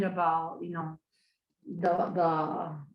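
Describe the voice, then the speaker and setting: A woman speaks at a fairly low pitch in a Spanish accent. Audible room echo surrounds her voice. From Colombia. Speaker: HIV advocate, long-term survivor. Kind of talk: webinar presentation. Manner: halting.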